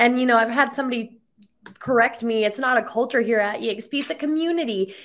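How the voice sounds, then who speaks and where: A woman speaks at a fairly quick pace in an unremarkable speaking voice. Her pitch is fairly high, with ordinary variation. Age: 20s. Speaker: podcast host. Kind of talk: interview.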